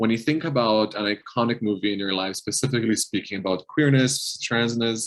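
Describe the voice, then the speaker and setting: A man's medium-pitched voice in a Portuguese accent, with ordinary pitch variation and hardly any pauses. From Brazil, São Paulo. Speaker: health community manager. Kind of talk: casual interview conversation.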